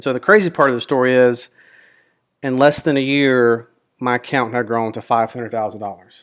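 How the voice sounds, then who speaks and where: A man with a Mississippi accent talks in a relaxed tone at a fairly quick pace, his medium pitch showing ordinary variation while his loudness swings widely. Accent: Southern US (Mississippi). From Mississippi, US South. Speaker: options trader and YouTuber. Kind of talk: casual personal introduction to camera. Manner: relaxed, with frequent fillers (um, uh).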